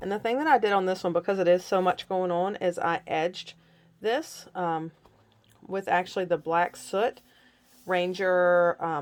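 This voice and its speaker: A woman with a plain, everyday voice speaks at a moderate pace and medium pitch, with ordinary pitch variation. The recording is very clean, with a silent background. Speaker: scrapbooking instructor. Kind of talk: tutorial. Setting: home craft room.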